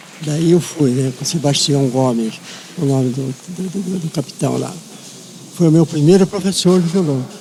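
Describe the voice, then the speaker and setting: Against noticeable background noise, a man talks fairly slowly with lively intonation. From Paraná, Brazil (Paranaguá). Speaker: conductor and composer. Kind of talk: interview. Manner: halting.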